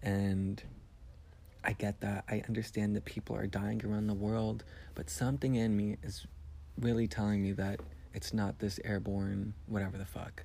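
A man talks at a moderate pace with a dark, mellow tone. His pitch is fairly low, with ordinary variation. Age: 20s. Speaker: podcaster. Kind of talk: casual monologue. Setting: at home. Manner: animated.

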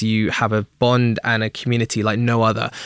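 A man in an English accent talks with a medium pitch. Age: 20s. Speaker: talent manager. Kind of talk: interview.

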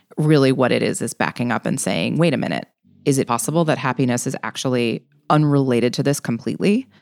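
Very fast speech with vocal fry and ordinary pitch variation, in a dry, close sound with no echo. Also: woman, very deep, low pitch for a woman. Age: 40s. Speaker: writer and illustrator, greeting card entrepreneur. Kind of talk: interview.

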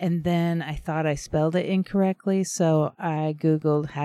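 A woman speaks quietly in a dark, mellow tone with fairly even intonation. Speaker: podcast co-host. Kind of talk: casual chat. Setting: outdoors on back patio by a fire.

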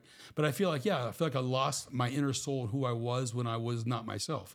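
Talking at a very fast pace, a man keeps a medium pitch with ordinary pitch variation. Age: 60s. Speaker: weight-loss client sharing his health journey. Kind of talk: casual interview testimony. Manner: halting, with frequent restarts.

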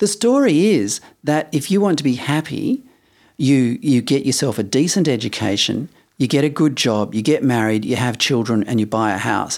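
With an Australian accent, a man speaks at a moderate pace and medium pitch with lively intonation, on a very clean recording with a silent background. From Western Australia, Perth. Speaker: podcast co-host. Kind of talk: casual chat. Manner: laid-back.

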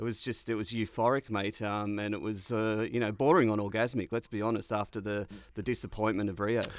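The speech moves at a fairly quick pace with hardly any pauses. Intonation remains fairly even. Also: man, fairly low pitch for a man. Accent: Australian. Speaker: podcast co-host. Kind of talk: comedic casual chat.

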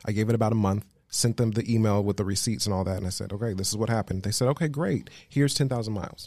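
With an American accent, this man talks very fast at a fairly low pitch, his dark, mellow tone carrying ordinary pitch variation and hardly any pauses. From Las Vegas, Nevada. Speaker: travel agent and world traveler. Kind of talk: casual chat.

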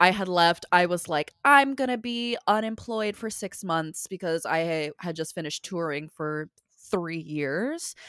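On a very clean recording with a silent background, a woman speaks at a fairly slow pace in a plain, everyday voice, her fairly low pitch rising and falling with lively intonation. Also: dry, close sound with no echo. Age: 30s. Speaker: professional singer and performer. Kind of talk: casual chat.

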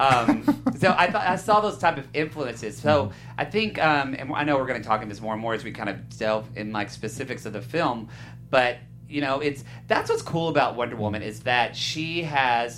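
A man with an American accent talks at a moderate pace and medium pitch. His intonation is lively, and music plays in the background. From southern Oklahoma. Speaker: film podcast panelist. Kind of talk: casual chat.

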